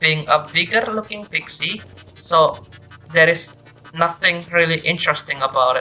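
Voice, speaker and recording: Over music in the background, a woman with a non-native accent speaks at a moderate pace in a fairly low pitch, with ordinary pitch variation. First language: not English. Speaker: gaming video reviewer. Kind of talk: game review commentary.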